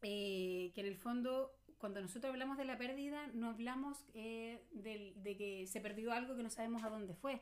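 A woman speaks at a moderate pace in a plain, everyday voice with ordinary pitch variation. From Chile. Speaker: psychologist. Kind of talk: casual chat.

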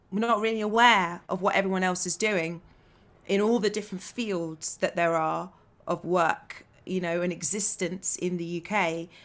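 A medium-pitched woman's voice in a southern English accent, with fairly even intonation and a moderate pace. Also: very clean recording, silent background. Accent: southern English with some London. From Bedfordshire, England. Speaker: actress. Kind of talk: interview conversation.

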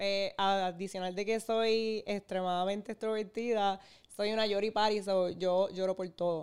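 The recording is very clean, with a silent background. A woman speaks at a fairly slow pace in a medium pitch, her intonation monotone and flat. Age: 30s. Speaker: content creator. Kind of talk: testimony.

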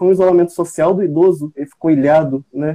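A man with a high pitch and a dark, mellow tone talks at a moderate pace with ordinary pitch variation in a dry, close sound with no echo. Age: 20s. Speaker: medical student. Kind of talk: live panel moderation.

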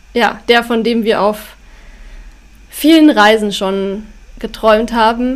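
A woman's fairly high voice at a very slow pace, with fairly even intonation and long, frequent pauses. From Bavaria, Upper Bavaria (Schongau near Allgäu). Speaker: author and travel blogger. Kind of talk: casual interview.

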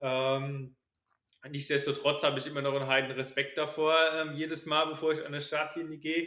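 With a bright, sharp tone, a man speaks at a fairly high pitch in a flat monotone. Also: moderate pace. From Palatinate, Germany (near Kaiserslautern). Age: 20s. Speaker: runner and student. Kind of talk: casual interview.

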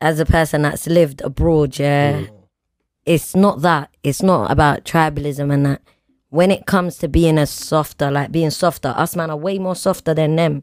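Woman with a London accent, very deep and low in pitch, at a moderate pace, with ordinary pitch variation and big swings in loudness. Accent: London multicultural English. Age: 20s. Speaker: podcast co-host. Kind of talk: casual chat. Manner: animated.

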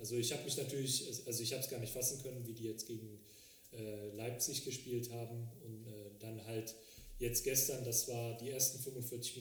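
In a room with audible echo, a man speaks at a moderate pace with fairly even intonation. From Cologne area, Germany (Frechen). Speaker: personal trainer. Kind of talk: casual chat.

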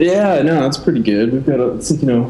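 A man with an American accent at a moderate pace and ordinary pitch variation, with audible room echo and noticeable background noise. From Oregon. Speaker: designer and agency founder. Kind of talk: casual interview. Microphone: built-in laptop mic.

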